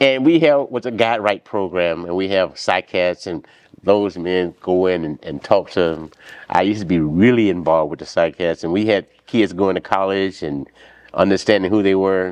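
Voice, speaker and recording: Very deep, low pitch from a man, varying in an ordinary way. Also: moderate pace. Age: 70s. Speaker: church member and community elder. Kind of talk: interview.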